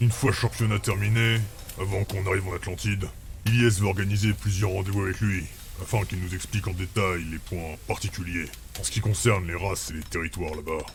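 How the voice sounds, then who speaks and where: A man puts on a character voice with a very deep, low pitch and a calm tone. He goes at a fairly quick pace over clear background noise. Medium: actual play. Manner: calm, laconic.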